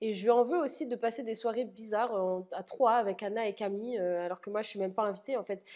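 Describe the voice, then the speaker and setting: Against a quiet background, a woman speaks very fast at a fairly high pitch, her tone dark and mellow, with ordinary pitch variation. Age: 20s. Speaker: reality TV contestant. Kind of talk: interview monologue. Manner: blunt, spontaneous. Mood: candid, slightly hurt. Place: home room. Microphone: lapel.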